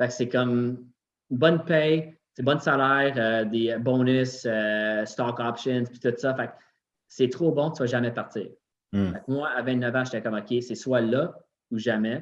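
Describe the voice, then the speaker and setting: A man speaks with a Quebec accent. His pace is fairly slow and his intonation fairly even. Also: medium pitch for a man. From Quebec, Montreal. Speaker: gym owner. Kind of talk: casual chat.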